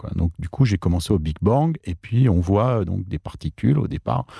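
In a very clean recording with a silent background and a dry, close sound without echo, a man speaks at a moderate pace in a dark, mellow, somewhat breathy tone. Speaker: author and mathematician. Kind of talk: interview. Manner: halting.

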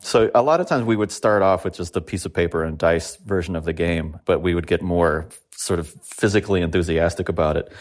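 A man with a Californian accent. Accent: Californian American. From Los Angeles, San Fernando Valley. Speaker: musician. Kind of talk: interview. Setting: home, remote recording.

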